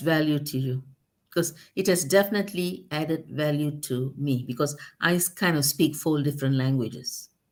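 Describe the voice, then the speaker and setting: With a non-native accent, a woman speaks at a moderate pace in a very deep, low pitch. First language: not English. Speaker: guest on talk show. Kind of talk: casual chat. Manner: halting.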